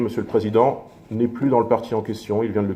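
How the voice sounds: Amid audible room echo, a man with a fairly low pitch and a dark, mellow tone talks at a fairly quick pace.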